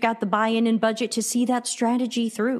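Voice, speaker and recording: A woman talks with a US East Coast accent and a fairly high pitch. The recording is very clean, with a silent background. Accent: US East Coast American. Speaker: customer experience consultant. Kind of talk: interview.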